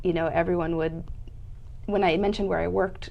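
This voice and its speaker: A woman speaks with a US Midwestern accent at a fairly low pitch. Vocal fry runs through her voice. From US Midwest (Indianapolis, Cleveland). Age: 30s. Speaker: nonprofit public affairs director. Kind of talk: interview.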